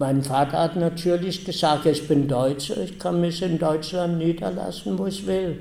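Fairly slow, dark and mellow speech from a man at a fairly high pitch, with ordinary pitch variation. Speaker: Holocaust survivor and eyewitness speaker. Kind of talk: testimony.

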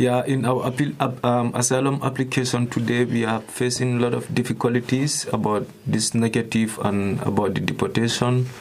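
The speech moves at a moderate pace with hardly any pauses, very even loudness and fairly even intonation. Noticeable background noise sits behind it. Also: man, medium pitch for a man. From Gambia. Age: young. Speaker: asylum seeker. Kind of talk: testimony.

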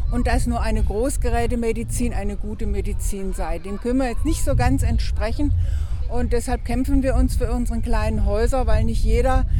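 At a moderate pace, someone talks while noticeable background noise carries on behind. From Baden, Oberkirch. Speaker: protester. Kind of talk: street interview. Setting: outdoors at a town square.

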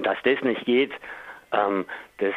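This man has an unremarkable speaking voice with a fairly low pitch. His intonation stays fairly even. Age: 50s. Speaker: local politician and activist. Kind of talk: interview.

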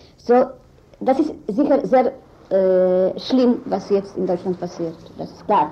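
A woman with a medium pitch speaks very slowly, with long, frequent pauses. Her loudness swings widely over noticeable background noise. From Israel. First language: not German (speaking German). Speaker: lawyer and human rights activist. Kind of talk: interview. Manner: halting.

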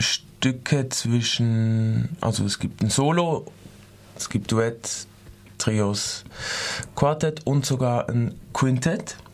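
Long, frequent pauses break up a man's very slow speech, delivered at medium pitch with ordinary variation. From Switzerland. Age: 20s. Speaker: dance student. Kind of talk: radio interview. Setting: studio. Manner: halting.

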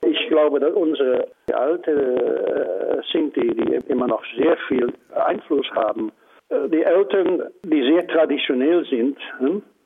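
A man talks in a Dutch accent at a very slow pace. His loudness stays very even. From Netherlands. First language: Dutch (speaking German). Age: 80s. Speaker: Holocaust survivor and civil rights activist. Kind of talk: interview.

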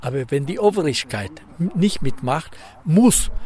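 In a Spanish accent, a man talks with lively intonation in a somewhat breathy voice. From Ecuador. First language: Spanish (speaking German). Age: 70s. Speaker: economist, former minister. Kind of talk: interview.

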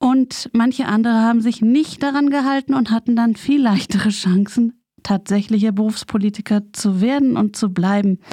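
This woman has a fairly high, somewhat breathy voice with a dark, mellow tone and ordinary pitch variation. Her loudness stays very even, and the sound is dry and close with no echo. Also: moderate pace. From West Berlin, Germany. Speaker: community radio maker, daughter of a peace activist. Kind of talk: radio interview. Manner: halting.

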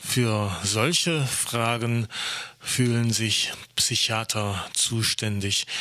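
A man talks at a very slow pace and a medium pitch. Noticeable background noise can be heard. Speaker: radio host. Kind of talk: news-style radio moderation.

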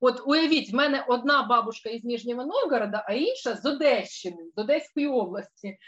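A woman's voice, high in pitch, at a moderate pace with lively intonation. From Russian Far East and Ukraine, military family. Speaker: tour organizer and researcher. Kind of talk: casual chat. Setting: video call. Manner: animated.

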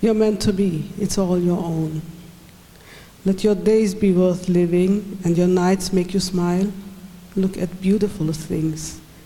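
A woman at a medium pitch talks at a very slow pace in a monotone, flat intonation, with long, frequent pauses. Room echo is audible. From Swabia, Göppingen area. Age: 40s. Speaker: poet. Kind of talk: poetry reading. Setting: stage with audience.

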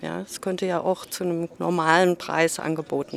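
A woman speaks at a moderate pace in a fairly low, monotone, flat voice. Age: 60s. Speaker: local resident, retiree. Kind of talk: street interview.

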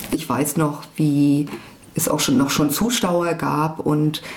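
Against noticeable background noise and audible room echo, a woman with a very deep, low pitch speaks at a very slow pace with fairly even intonation. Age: 40s. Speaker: former activist. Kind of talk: interview testimony.

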